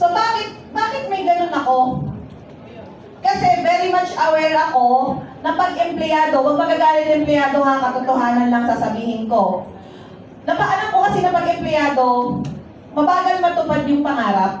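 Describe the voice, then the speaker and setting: With a strong Mindoro accent, a woman speaks at a moderate pace in a high pitch with an animated tone, lively intonation and very even loudness, amid audible room echo and noticeable background noise. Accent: Mindoro Tagalog intonation, still strong. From Philippines, Oriental Mindoro (Puerto Galera). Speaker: network marketing leader. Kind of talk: motivational talk to an audience.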